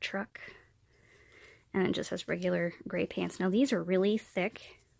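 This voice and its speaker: A woman's medium-pitched voice with an American accent, on a very clean recording with a silent background. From central Pennsylvania. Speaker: vlogger. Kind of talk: product haul video. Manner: casual, chatty.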